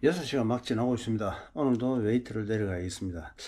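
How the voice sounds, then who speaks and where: A man's somewhat breathy, medium-pitched voice at a fairly quick pace, on a very clean recording with a silent background. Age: 60s. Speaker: marathon running vlogger. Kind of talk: casual vlog talk.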